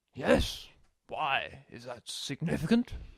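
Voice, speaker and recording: In a put-on character voice, raspy and fairly slow, the speaker sounds dry and close with no echo. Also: man, fairly high pitch for a man. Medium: audio drama. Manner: flustered, stammering.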